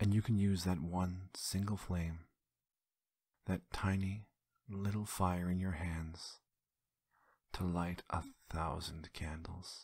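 Whispering very slowly with long, frequent pauses, a man sounds somewhat breathy and uses a soothing, gentle tone. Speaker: ASMR creator. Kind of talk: whispered guided visualization exercise. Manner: slow, gentle, hushed instructions with soft repetitions; soothing, intimate second-person coaxing.

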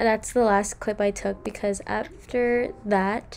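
A woman speaks at a very slow pace in a flat monotone, with light background noise behind her. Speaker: vlogger. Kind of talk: casual vlog chat. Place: home room. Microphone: phone near.

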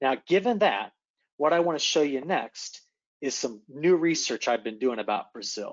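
A man with an ordinary speaking voice talks at a moderate pace and a fairly high pitch over a quiet background. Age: young. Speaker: atmospheric scientist; presenter. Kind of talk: presentation. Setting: video call. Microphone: video call.

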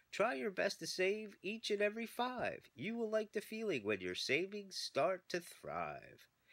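In a put-on character voice pitched fairly high, the speaker moves at a moderate pace with hardly any pauses. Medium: read story. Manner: rhyming, preachy.

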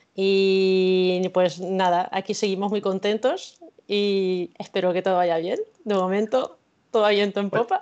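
Against a quiet background, a woman talks at a fairly slow pace in a monotone, flat intonation with very even loudness. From La Mancha, Spain (Cuenca province); La Mancha, Spain. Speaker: illustrator and researcher; guest. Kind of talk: interview. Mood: cheerful, smiling. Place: home room. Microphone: video call.

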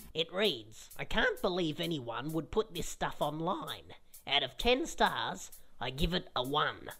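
A cartoonish character voice at a middle pitch. It moves at a fairly slow pace. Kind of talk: comedic kids web series dialogue. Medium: puppet.

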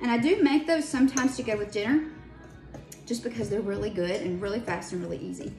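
A woman speaks with clear music audible in the background. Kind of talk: casual cooking tutorial. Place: kitchen. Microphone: phone near.

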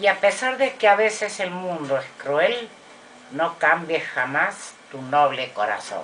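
With light background noise, a woman speaks at a very slow pace in a fairly low pitch that swings very widely. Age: old. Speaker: grandmother reciting poetry. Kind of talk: poetry reading. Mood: gentle, tender. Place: home room. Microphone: webcam.

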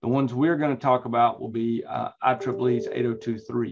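Speaking at a fairly slow pace, a man talks in a North Carolina accent. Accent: Southern US (North Carolina). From North Carolina, US South. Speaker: instructor. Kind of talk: lecture.

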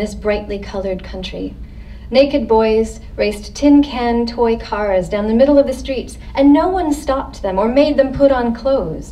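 This woman has a plain, everyday voice with an American accent. Her pitch is fairly high, with ordinary variation, and she keeps a moderate pace. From Haiti and California. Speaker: author. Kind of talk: reading aloud. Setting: library event with audience. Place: hall. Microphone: podium.

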